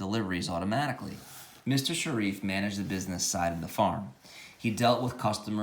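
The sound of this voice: Delivered in an unforced reading voice, the words carry ordinary pitch variation.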